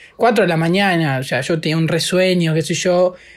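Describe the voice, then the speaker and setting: A man's high-pitched voice at a moderate pace. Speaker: podcast co-host. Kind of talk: casual chat.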